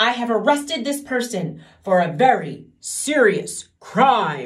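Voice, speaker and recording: Using a put-on character voice, a woman speaks at a fairly high pitch and a fairly slow pace. Her pitch swings very widely. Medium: read story. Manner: gloomy, solemn.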